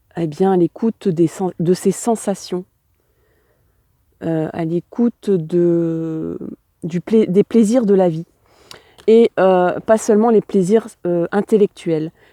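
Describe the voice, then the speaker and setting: Very slow, with long, frequent pauses, a woman speaks in a dark, mellow tone at a medium pitch with ordinary pitch variation. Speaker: tarot reader. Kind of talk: tarot reading addressed to viewers. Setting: outdoors on a hill with wind noise.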